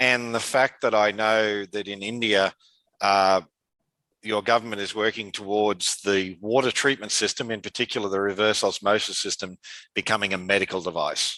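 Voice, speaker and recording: Against a quiet background, a man with an Australian accent speaks at a fairly low pitch in a bright, sharp tone. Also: fairly even intonation, moderate pace, dry, close sound with no echo. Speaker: conference speaker on dialysis water treatment. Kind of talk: conference presentation. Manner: hesitant, many fillers.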